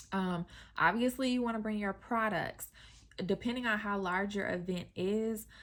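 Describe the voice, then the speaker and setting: A woman speaks in a plain, everyday voice at a medium pitch. Her pace is moderate and her intonation fairly even. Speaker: skincare business owner and coach. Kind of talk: casual tutorial vlog.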